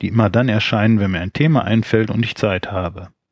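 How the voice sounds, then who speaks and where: In a normal speaking voice, a man with a fairly low pitch and ordinary pitch variation speaks in a dry, close sound with no echo. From Rhineland, Germany. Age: 40s. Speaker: podcaster. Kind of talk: solo podcast intro monologue.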